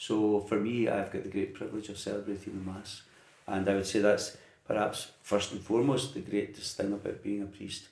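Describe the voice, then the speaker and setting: A man in a west of Scotland accent, fairly even in intonation, at a moderate pace, with audible room echo. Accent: Scottish, west of Scotland. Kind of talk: interview. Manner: hesitant.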